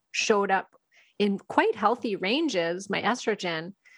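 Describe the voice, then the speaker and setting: In a plain, everyday voice, a woman speaks at a moderate pace with lively intonation over a quiet background. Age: 40s. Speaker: hormone specialist and nutrition coach. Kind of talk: casual interview chat.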